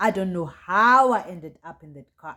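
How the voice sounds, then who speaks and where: With a South African accent, a woman speaks with ordinary pitch variation. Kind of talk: storytime, casual talk to camera. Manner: lively, chatty.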